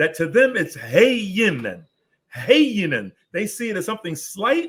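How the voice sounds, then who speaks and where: Here a man talks at a fairly slow pace. His pitch swings very widely. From Newark, New Jersey. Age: 70s. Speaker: Islamic scholar. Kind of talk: interview. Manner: emphatic, repetitive.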